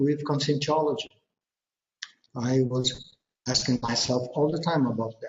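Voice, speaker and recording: A man's somewhat breathy voice. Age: 50s. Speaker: researcher presenter. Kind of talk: presentation. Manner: halting.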